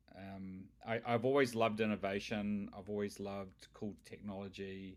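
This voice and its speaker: A man with a New Zealand accent speaks at a moderate pace in a fairly low voice, his intonation flat and monotone. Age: 50s. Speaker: tech company founder. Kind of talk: interview. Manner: halting.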